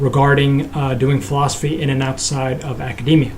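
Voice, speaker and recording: The speech comes at a fairly quick pace, and noticeable background noise can be heard beneath it. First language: Nepali. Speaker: philosophy vlogger. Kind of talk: casual vlog monologue. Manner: halting, many fillers and restarts.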